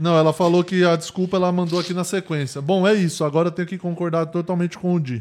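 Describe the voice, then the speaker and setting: In a very clean recording with a silent background, a man with a high pitch talks very fast with fairly even intonation. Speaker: podcast co-host. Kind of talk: casual chat.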